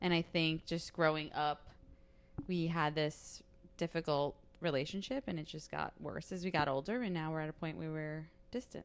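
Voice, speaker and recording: In a Staten Island accent, a woman with a very deep, low pitch talks at a moderate pace with ordinary pitch variation. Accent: Staten Island New York. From Staten Island, New York City. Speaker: podcast guest, host's college friend. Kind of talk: casual chat.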